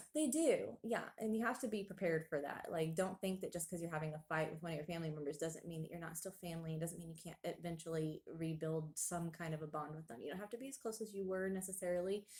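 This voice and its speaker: A woman's fairly low, somewhat breathy voice at a very fast pace. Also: ordinary pitch variation. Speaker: Bible study teacher. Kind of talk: Bible study discussion. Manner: hesitant, many fillers.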